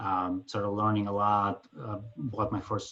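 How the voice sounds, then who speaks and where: A man with a Ukrainian accent talks at a moderate pace in a fairly low pitch. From Ukraine. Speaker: finance executive and passive investor. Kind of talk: self-introduction in an online group meeting. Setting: video call. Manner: halting, many fillers.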